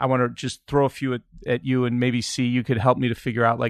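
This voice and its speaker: In a Chicago accent, the speaker goes at a fairly quick pace against a quiet background, and the sound is dry and close with no echo. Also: man. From Chicago, US Midwest. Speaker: podcast host. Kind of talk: casual chat. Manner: halting, many fillers.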